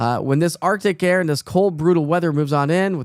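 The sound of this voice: A man with a fairly high pitch for a man, lively intonation and a fairly quick pace, on a very clean recording with a silent background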